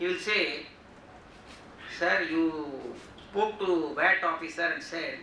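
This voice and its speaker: A man with a high pitch speaks using lively intonation. Audible room echo and noticeable background noise are present. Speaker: GST workshop speaker. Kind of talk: lecture. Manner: loud.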